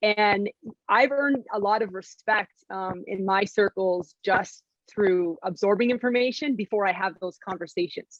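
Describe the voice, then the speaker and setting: A woman talks at a moderate pace. Her pitch sits at medium, with ordinary pitch variation. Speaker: basketball color analyst. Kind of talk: panel discussion. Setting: video call. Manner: loud.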